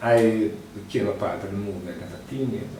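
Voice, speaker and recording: With audible room echo and noticeable background noise, a man speaks at a fairly low pitch. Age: 60s. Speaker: Rastafari elder and event organizer. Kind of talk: interview.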